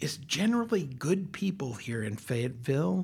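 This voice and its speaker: A man with an American accent speaks fairly slowly and somewhat breathily at a fairly high pitch, his pitch swinging very widely. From US West, Colorado. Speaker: university administrator, accessibility advocate. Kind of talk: casual chat.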